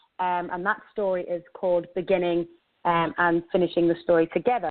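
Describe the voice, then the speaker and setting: A woman of medium pitch with an English accent. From England. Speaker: radio show host and life coach. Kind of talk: radio show monologue. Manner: hesitant with frequent fillers.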